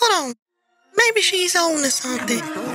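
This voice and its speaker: This cartoonish character voice is squeaky and moves at a moderate pace. Faint music plays in the background. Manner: calm, skeptical.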